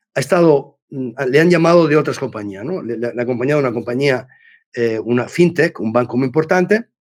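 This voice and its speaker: The recording is very clean, with a silent background. A man at a medium pitch speaks at a fairly quick pace with lively intonation. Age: 60s. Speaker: business executive and mentor. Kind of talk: podcast interview. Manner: halting, many repetitions and false starts; talkative.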